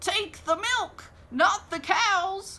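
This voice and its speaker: Extremely high-pitched woman's put-on character voice with ordinary pitch variation. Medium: read story.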